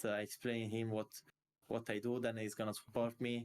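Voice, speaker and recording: Speaking with an Italian accent, a man holds a medium pitch and a monotone, flat intonation. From Italy. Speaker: esports player. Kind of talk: interview. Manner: halting.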